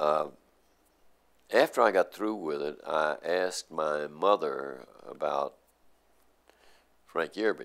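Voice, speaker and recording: A speaker with an American accent talks at a very slow pace, leaving long, frequent pauses. The background is quiet. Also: man. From Nashville, Tennessee. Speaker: journalist. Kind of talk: oral history interview answer. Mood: reflective, warm storytelling. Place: office.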